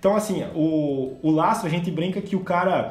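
A man speaks at a high pitch with ordinary pitch variation. Noticeable background noise and audible room echo fill the recording. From southern Brazil (Rio Grande do Sul). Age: 20s. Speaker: agricultural consultant and company co-founder. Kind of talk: casual podcast interview.

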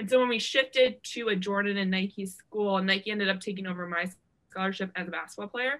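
Fairly quick and with fairly even intonation, a woman speaks in a medium pitch with an American accent and a normal speaking voice. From Ohio. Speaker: former college basketball player. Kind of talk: interview.

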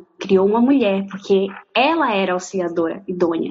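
Her voice sits at medium pitch. This woman speaks at a fairly slow pace. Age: 20s. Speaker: law student. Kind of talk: casual chat. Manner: halting.

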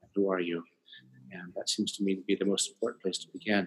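With an American accent, a man speaks at a fairly quick pace. His pitch is fairly low. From Colorado and California, US. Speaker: professor and author. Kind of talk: interview conversation. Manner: halting.

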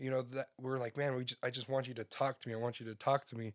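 On a very clean recording with a silent background, a man speaks at a medium pitch in a monotone with flat intonation. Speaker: guest, married man. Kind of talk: casual podcast conversation. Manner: not a big talker, reflective.

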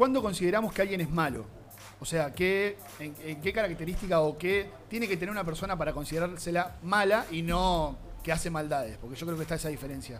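Against background music, a man speaks very fast in a high voice with ordinary pitch variation. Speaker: podcast host. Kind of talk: casual chat. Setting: recorded in a bar.

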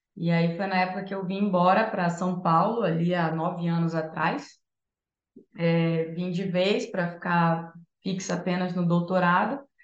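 A woman speaks at a fairly low pitch and a fairly slow pace. Her intonation is fairly even, and the room echo is audible. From northern Brazil, Santarém, Pará. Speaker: music therapist and entrepreneur. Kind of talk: casual chat.

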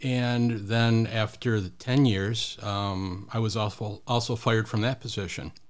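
A man with an ordinary speaking voice talks at a fairly slow pace and medium pitch, with fairly even intonation and hardly any pauses, on a very clean recording with a silent background. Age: 50s. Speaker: business manager. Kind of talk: casual interview.

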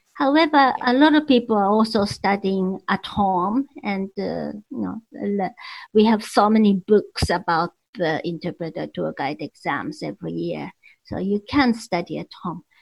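Lively, fairly slow speech from a woman at medium pitch, with vocal fry. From Japan. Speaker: licensed tour guide. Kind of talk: casual interview chat.

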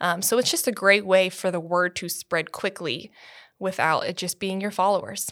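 The recording is very clean, with a silent background. A woman of medium pitch uses an ordinary speaking voice with fairly even intonation at a moderate pace. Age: 20s. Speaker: church communications staff. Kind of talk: casual chat.

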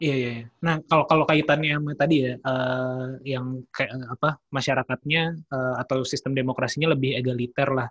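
A man's medium-pitched, monotone, flat delivery at a moderate pace with hardly any pauses, in a dry, close sound with no echo. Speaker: podcast host. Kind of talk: casual interview. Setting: video call.

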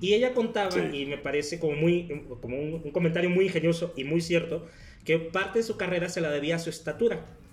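Talking at a fairly quick pace, a man with a Mexican accent has a high pitch and ordinary pitch variation, with noticeable background noise. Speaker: podcast guest. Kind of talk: casual chat.

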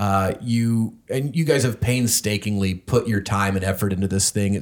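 In an American accent, a normal speaking voice goes at a moderate pace with fairly even intonation. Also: man. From North Carolina, US South. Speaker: podcast host. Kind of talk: casual interview chat. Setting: in-person recording in home studio.

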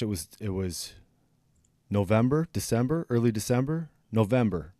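A man talks at a moderate pace and a medium pitch on a very clean recording with a silent background. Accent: Upper Midwest. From northern Wisconsin. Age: 40s. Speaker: podcast host. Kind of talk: casual interview. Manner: animated.

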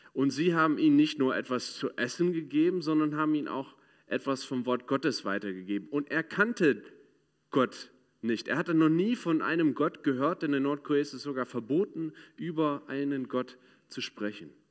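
A man at a fairly high pitch with ordinary pitch variation and a moderate pace, on a very clean recording with a silent background. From United States. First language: English (speaking German). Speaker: ministry speaker. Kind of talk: sermon. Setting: church.

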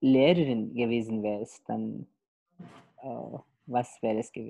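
A woman at a very slow pace. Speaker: podcast host, German teacher. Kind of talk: interview.

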